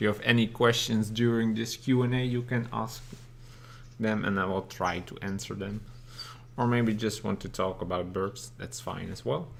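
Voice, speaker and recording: A man with a non-native accent talks at a moderate pace and medium pitch, his intonation fairly even. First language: not English. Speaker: bird keeper and channel host. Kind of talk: live stream Q&A. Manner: halting, with frequent fillers.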